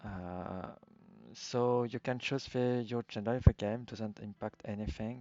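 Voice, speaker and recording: A man speaks at a fairly slow pace with a strong French accent, his medium pitch held in fairly even intonation. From France. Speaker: video game streamer. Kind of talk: casual game commentary. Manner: halting, many fillers.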